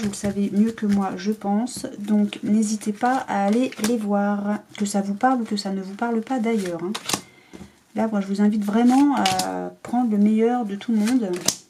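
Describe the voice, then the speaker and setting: A woman at a moderate pace in a monotone, flat intonation, with noticeable background noise. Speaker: tarot card reader. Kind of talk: tarot reading to camera.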